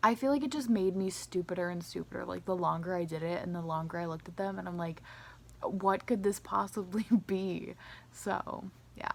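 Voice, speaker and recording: In an ordinary speaking voice, a woman talks at a fairly quick pace. Her pitch is fairly low, with ordinary pitch variation. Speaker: vlogger. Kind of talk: casual vlog monologue.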